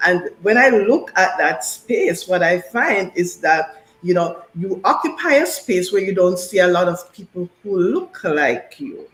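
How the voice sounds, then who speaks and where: The speaker has a Jamaican accent and a lively intonation. The pace is fairly slow, with hardly any pauses. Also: woman, medium pitch for a woman. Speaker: business consultant and professor. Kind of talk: radio interview. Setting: radio show.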